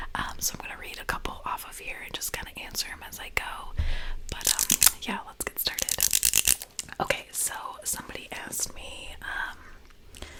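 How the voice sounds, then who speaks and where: A woman whispers at a moderate pace, with big swings in loudness. Noticeable background noise is present. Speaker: ASMR creator. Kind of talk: ASMR get-to-know-me talk to camera. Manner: whispered, soft-spoken.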